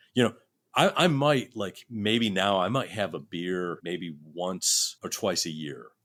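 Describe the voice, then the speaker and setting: A man with a very deep, low voice and an American accent speaks at a very slow pace with lively intonation, in a very clean recording with a silent background. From US Northeast, Rochester, New York. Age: 60s. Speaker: session guitarist. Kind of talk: casual chat. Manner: halting, many restarts.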